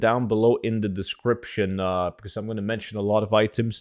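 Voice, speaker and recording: The speaker talks at a fairly quick pace with a Norwegian accent. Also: man. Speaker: gaming YouTuber. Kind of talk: video game tutorial. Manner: casual, filler-heavy.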